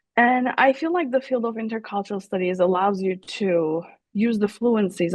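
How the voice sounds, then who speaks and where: This woman speaks in a Turkish accent at a moderate pace. Her pitch is medium, with ordinary pitch variation. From Turkey. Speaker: professor. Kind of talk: interview. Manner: halting, many fillers.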